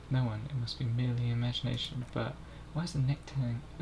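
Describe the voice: Simple, unadorned reading aloud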